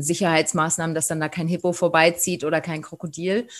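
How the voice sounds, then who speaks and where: Fairly low in pitch, a woman with an ordinary speaking voice talks at a fairly quick pace. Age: 40s. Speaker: safari tour operator. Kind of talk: interview.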